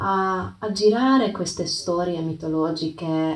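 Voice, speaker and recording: With a non-native accent, a woman speaks in a calm, gentle tone at a fairly low pitch. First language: not Italian (speaking Italian). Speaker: yoga teacher and podcast host. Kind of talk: reflective talk with storytelling. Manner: halting, with hesitations and repeats.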